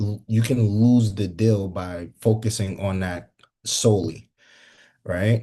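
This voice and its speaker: Over a quiet background, a man with a fairly low pitch and a dark, mellow tone speaks at a fairly slow pace with fairly even intonation. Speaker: solar sales trainer. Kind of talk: training session. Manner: halting, many fillers.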